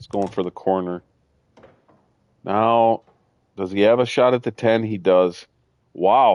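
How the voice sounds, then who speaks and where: A man speaks with a Midwestern accent at medium pitch and ordinary pitch variation. The sound is dry and close with no echo, over a quiet background. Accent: Midwestern, sometimes mistaken for Canadian. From US Midwest. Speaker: gaming streamer. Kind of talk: live gameplay commentary. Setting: live stream.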